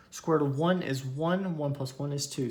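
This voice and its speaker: In a room with audible echo, a man with a fairly high pitch talks at a moderate pace, somewhat breathy and with fairly even intonation. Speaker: math teacher. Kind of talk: lecture.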